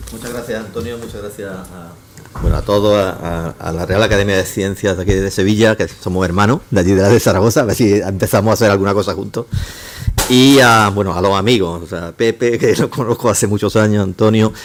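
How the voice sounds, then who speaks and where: A man speaks at a fairly quick pace in a fairly low voice with fairly even intonation, over noticeable background noise. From Córdoba, Andalusia. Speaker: engineering professor. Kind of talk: lecture. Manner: fast; halting, many false starts.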